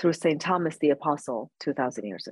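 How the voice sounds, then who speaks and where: The speech moves at a fairly quick pace, and the sound is dry and close with no echo. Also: woman. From Iran. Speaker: advocate for persecuted Christians, nonprofit founder. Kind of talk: interview answers, personal testimony.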